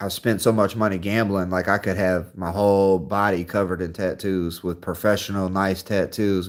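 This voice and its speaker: A man speaks at a moderate pace with an ordinary speaking voice. The recording is very clean, with a silent background. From US Midwest. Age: 30s. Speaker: live streamer. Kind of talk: casual chat. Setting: livestream. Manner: casual.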